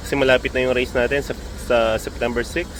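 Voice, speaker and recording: Clear noise runs through the recording. A male speaker delivers his words fairly quickly. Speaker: pigeon racing vlogger. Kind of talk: casual vlog narration. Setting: outdoors, early morning.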